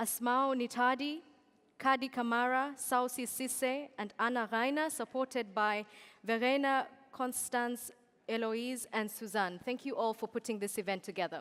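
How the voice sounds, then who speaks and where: This woman has a high pitch and a Kenyan accent. She talks at a moderate pace with ordinary pitch variation. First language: Kikuyu. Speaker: event moderator. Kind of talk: conference stage hosting.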